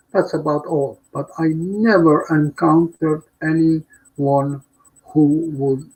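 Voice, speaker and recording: A man speaks at a very slow pace. His pitch is fairly high and his intonation fairly even. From Poland, Warsaw. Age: 90s. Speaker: Holocaust survivor. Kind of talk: testimony.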